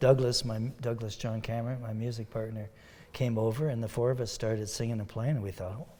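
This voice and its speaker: A man with a Canadian accent talks at medium pitch in a somewhat breathy voice. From Ontario, Sault Ste. Marie area. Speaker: country and bluegrass musician. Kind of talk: interview.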